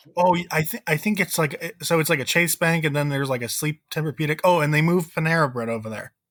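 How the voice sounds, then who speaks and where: A man with a Connecticut accent, very fast with hardly any pauses, at a fairly high pitch with ordinary pitch variation, in a dry, close sound with no echo. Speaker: podcast host. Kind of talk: casual chat.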